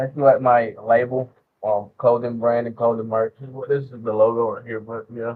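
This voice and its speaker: A man's medium-pitched, monotone, flat delivery at a moderate pace, with big swings in loudness. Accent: Southern. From US South. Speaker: rapper. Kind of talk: interview. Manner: hesitant, many fillers.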